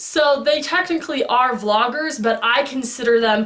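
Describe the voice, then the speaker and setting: A loud, animated woman speaks at a fairly slow pace. Noticeable background noise and audible room echo fill the recording. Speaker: fandom vlogger. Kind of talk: casual vlog monologue.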